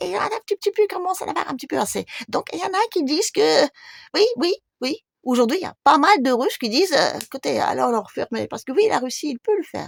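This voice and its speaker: A woman talks very fast in a high voice with very wide pitch swings. The sound is dry and close, with no echo. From Russia. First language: Russian (speaking French). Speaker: YouTuber. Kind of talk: video monologue.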